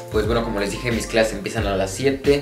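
A man speaks with clear music playing in the background. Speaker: student vlogger. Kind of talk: casual vlog chat. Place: home room. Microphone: phone near.

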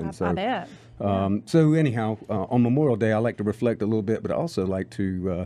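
This man talks at a fairly quick pace in a dark, mellow tone. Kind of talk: radio talk show chat. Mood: reflective, somber memories. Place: studio. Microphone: studio mic.

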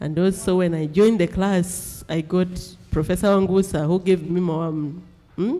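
A woman with a dark, mellow tone speaks at a moderate pace, keeping her intonation fairly even. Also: fairly low pitch for a woman. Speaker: PhD student. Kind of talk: prayer and discussion. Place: classroom.

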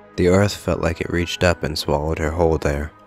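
Over music in the background, a man with a very deep, low pitch speaks with fairly even intonation in a dry sound with no echo. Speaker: story narrator. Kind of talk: dramatic story reading.

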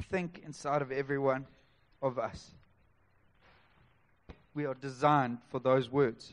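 A man's fairly high voice, fairly slow and flat in a monotone, broken by long, frequent pauses. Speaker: preacher. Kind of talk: church sermon. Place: church.

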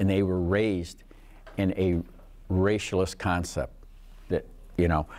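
In a flat monotone, a man speaks with a very deep, low pitch. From Detroit area, Michigan; Michigan. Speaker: author and activist; guest. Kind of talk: classroom talk with Q&A. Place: classroom.

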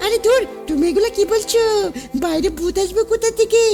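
At a moderate pace, a put-on character voice at an extremely high pitch plays over clear music in the background. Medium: machinima. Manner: playful, teasing.

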